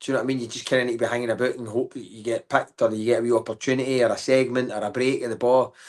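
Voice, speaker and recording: Over a quiet background, a man with a Glaswegian accent speaks at a medium pitch. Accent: Glaswegian Scottish. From Scotland, Glasgow. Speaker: comedian. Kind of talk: casual chat. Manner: animated.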